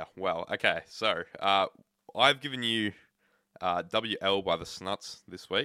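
Very slow speech in an Australian accent. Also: man. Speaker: podcast co-host. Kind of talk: casual chat.

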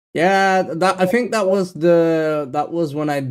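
The man speaks at a fairly slow pace. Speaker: podcast co-host and editor. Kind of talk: casual chat. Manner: loud.

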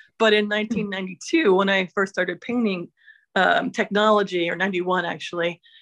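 Here is a woman with an ordinary speaking voice, medium in pitch. She keeps a moderate pace with ordinary pitch variation. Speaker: painter. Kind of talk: artist talk. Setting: video call on a phone.

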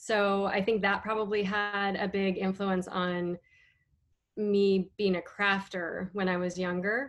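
A woman with an American accent speaks at a fairly slow pace. Her medium-pitched voice is monotone, with flat intonation. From US Northwest (Idaho/Washington). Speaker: abstract painter. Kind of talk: casual chat.

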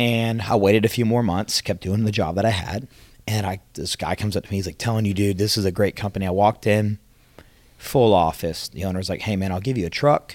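At a fairly quick pace, a normal speaking voice delivers fairly even intonation. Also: man, fairly low pitch for a man. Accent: American. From Atlanta, Georgia, US South. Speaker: roofing sales consultant. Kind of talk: casual interview.

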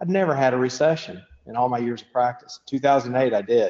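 This man speaks in a Kentucky accent. His pitch is medium and his pace fairly quick. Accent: Kentucky Southern US. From Western Kentucky, Bowling Green. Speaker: dentist. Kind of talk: podcast interview.

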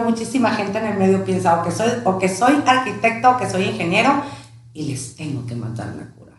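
Fairly quick speech from a woman amid noticeable background noise and audible room echo. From Tijuana, Mexico (born in León, Guanajuato). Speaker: podcast co-host, real estate director, former radio presenter. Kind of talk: casual chat.

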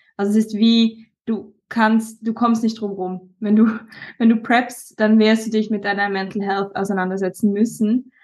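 Fairly high in pitch, a woman speaks fairly slowly in a monotone, flat way. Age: 20s. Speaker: bodybuilder. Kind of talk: casual chat.

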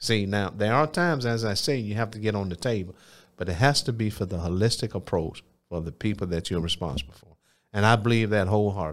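On a very clean recording with a silent background, a man with an Alabama accent speaks at a very fast pace, his pitch fairly low with ordinary variation. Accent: Southern US (Alabama). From US South, Phenix City, Alabama. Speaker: mayor and former football player. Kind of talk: interview testimony. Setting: studio.

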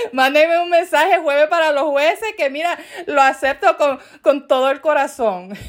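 With an animated tone, a woman speaks at a high pitch. Her pace is moderate. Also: ordinary pitch variation. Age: 40s. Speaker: podcast host. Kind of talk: casual monologue.

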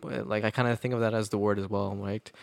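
A man with a Canadian accent, fairly quick pace, monotone flat delivery, and a dry, close sound with no echo. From Canada. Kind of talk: casual chat.

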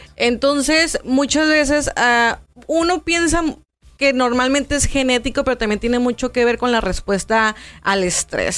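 A woman with an unremarkable speaking voice, lively intonation and moderate pace, on a very clean recording with a silent background. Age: 30s. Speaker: nutritionist. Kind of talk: interview.

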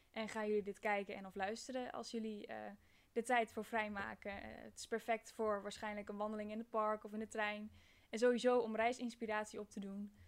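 A woman speaks at a moderate pace and fairly high pitch, with monotone, flat intonation and big swings in loudness. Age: 20s. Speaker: podcast host, university student. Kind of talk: podcast trailer monologue. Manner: hesitant, many filler sounds.

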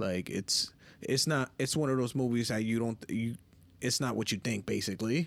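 A man with an American accent at medium pitch and moderate pace, ordinary pitch variation, and very even loudness. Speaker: podcast host. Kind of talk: casual banter podcast chat.

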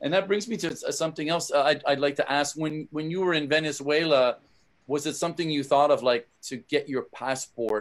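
The delivery moves at a fairly quick pace in a normal speaking voice. Pitch variation is ordinary. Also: man, fairly high pitch for a man. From Canada. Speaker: podcast host and musician. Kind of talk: casual interview.

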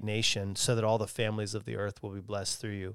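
The recording is very clean and the background silent. In it, a man talks with an American accent. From Lancaster County, Pennsylvania, US. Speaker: missions director. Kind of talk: casual chat.

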